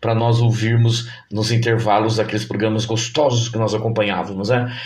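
Amid noticeable background noise and audible room echo, a man speaks at a moderate pace in a medium pitch. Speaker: podcast host and teacher. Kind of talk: casual nostalgic podcast monologue. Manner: animated.

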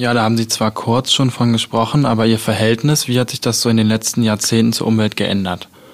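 With noticeable background noise behind it, the voice moves at a fairly quick pace, flat and monotone, with hardly any pauses. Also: man, medium pitch for a man. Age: 20s. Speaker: student radio host. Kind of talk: radio interview.

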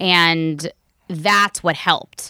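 Dry and close with no echo on a very clean recording with a silent background, a woman with an American accent speaks in a fairly low, bright, sharp voice with fairly even intonation. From US South, Raleigh, North Carolina. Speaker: neurofeedback technician. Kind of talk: casual interview. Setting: in person at a home.

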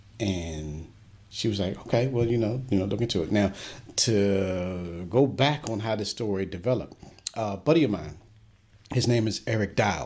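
A man speaks at a moderate pace with an American accent. His pitch is fairly low, with ordinary variation. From US, Washington D.C. area. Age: 50s. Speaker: radio host. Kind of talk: interview.

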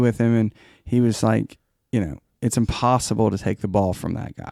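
A man with an American accent and an unremarkable speaking voice talks at a medium pitch and moderate pace, with fairly even intonation and a dry, close sound with no echo. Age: 40s. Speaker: songwriter. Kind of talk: casual chat.

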